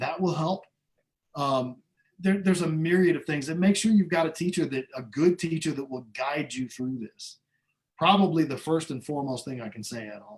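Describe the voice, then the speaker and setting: Using an ordinary speaking voice, a man with an American accent talks at a moderate pace in a fairly high pitch, with ordinary pitch variation and big swings in loudness. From Iowa, US Midwest. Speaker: trumpet player. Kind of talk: interview. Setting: video call.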